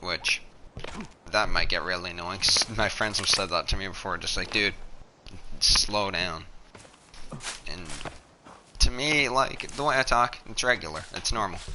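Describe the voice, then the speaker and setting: Noticeable background noise sits behind a voice with lively intonation. The pace is moderate, with long, frequent pauses. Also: man, fairly low pitch for a man. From Newfoundland, Canada. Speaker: video game streamer. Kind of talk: gameplay live stream commentary. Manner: halting, pauses mid-sentence.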